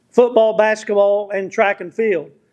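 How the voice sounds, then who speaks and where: Loud and high-pitched, a man talks with an American accent. The background is quiet. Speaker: award presenter. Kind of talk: formal speech introducing an honoree. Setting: banquet hall with audience, at a microphone.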